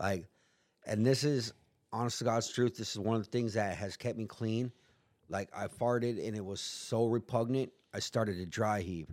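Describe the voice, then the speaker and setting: A man with an American accent speaks in a plain, everyday voice at medium pitch. His pace is moderate and his intonation fairly even. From US West, San Diego area. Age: 40s. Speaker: person in addiction recovery, former prisoner. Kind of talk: casual chat.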